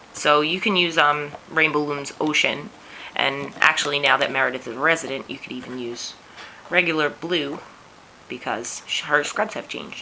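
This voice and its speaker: A woman with a New York accent, very deep and low in pitch, at a moderate pace with ordinary pitch variation, big swings in loudness and noticeable background noise. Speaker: teacher and craft tutorial maker. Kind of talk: tutorial.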